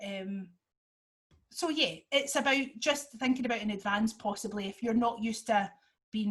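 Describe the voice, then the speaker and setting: A woman talks in an animated tone at a fairly high pitch. Her voice is somewhat breathy. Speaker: podcaster and dance teacher. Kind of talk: webinar presentation. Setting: video call. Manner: fast; hesitant fillers, animated.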